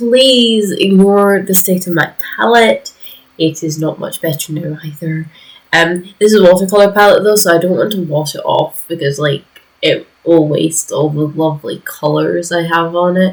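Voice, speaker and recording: A woman with a fairly low pitch talks at a moderate pace with ordinary pitch variation. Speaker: art hobbyist video creator. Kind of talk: casual voiceover over art process video. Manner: voice drops lower as video goes on; rambling, hesitant with fillers.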